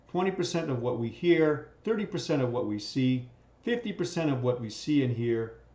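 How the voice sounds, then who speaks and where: Male speech with very wide pitch swings, audible room echo around it. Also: fairly high pitch for a man, moderate pace. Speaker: teacher. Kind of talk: lecture.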